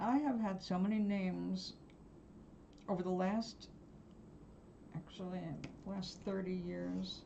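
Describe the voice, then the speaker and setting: Audible room echo fills the space as a woman with an American accent speaks at a fairly slow pace with long, frequent pauses. Her medium-pitched voice has fairly even intonation. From New York. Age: 70s. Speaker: live-stream host, artist and spiritual guide. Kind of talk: casual live-stream chat. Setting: home live stream.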